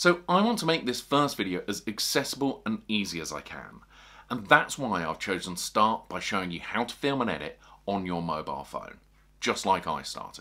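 Against a quiet background, a man's pitch swings very widely. His loudness also rises and falls in big swings. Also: moderate pace. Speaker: fishing video creator. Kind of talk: tutorial. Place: home room.

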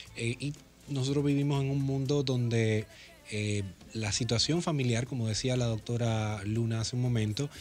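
A man at a moderate pace with fairly even intonation, faint music in the background. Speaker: radio guest. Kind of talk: interview answer. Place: studio. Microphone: studio mic.

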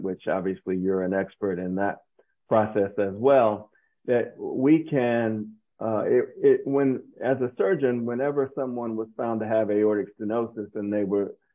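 Fairly low male voice at a moderate pace with fairly even intonation, against a quiet background. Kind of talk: interview conversation. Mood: calm, thoughtful. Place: home room. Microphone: video call.

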